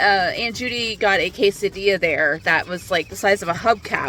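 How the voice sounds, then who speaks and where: At a moderate pace, a woman talks in a medium pitch against noticeable background noise. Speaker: vlogger. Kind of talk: casual vlog talk to camera. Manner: casual, filler-heavy.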